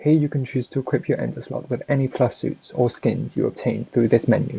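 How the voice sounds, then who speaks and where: A man speaks with a British accent. His pace is fairly quick. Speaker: gaming guide creator. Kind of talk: game tutorial narration.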